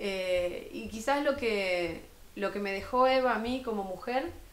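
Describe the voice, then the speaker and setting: A woman with a Rioplatense accent, fairly high in pitch with ordinary variation, at a very slow pace, with audible room echo. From Argentina, Buenos Aires province (Florencio Varela). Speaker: municipal culture official. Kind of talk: TV interview. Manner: hesitant, many fillers. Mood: earnest, committed. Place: studio. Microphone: lapel.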